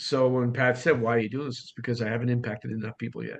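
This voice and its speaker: With a Boston accent, a man speaks at a medium pitch in a monotone, flat intonation. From US Northeast, Boston. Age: 60s. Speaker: real estate coach and author. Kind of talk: podcast interview. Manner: fast.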